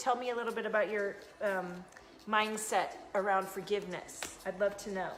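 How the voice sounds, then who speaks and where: Speaking at a moderate pace with a slight Southern US accent, a woman is heard with audible room echo. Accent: slight Southern US twang. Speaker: intuitive coach and card reader. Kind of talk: live stream chat and card reading. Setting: live video stream. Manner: animated.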